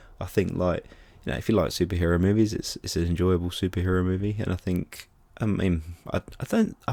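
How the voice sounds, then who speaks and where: A man with an English accent speaks at a very fast pace. His voice is very deep and low, with a dark, mellow tone. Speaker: film reviewer. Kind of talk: casual video review. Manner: animated.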